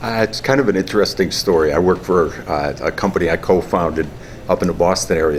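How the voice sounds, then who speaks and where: Fairly quick speech in a strong New England accent, with fairly even intonation and noticeable background noise. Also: man. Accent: heavy Yankee. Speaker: company co-founder. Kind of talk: interview.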